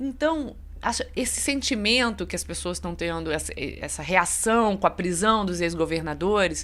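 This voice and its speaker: A woman with a Rio de Janeiro accent speaks at a fairly slow pace. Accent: Rio de Janeiro (fluminense). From Rio de Janeiro state interior, Barra Mansa. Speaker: journalist. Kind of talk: radio interview on news.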